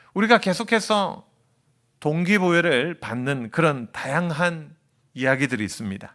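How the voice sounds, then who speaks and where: The voice is bright and sharp in tone, with very wide pitch swings at a fairly slow pace. It is captured on a very clean recording with a silent background. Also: man, fairly high pitch for a man. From non-Seoul region of Korea. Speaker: seminary professor and pastor preaching as guest. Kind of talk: sermon. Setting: church service, live broadcast.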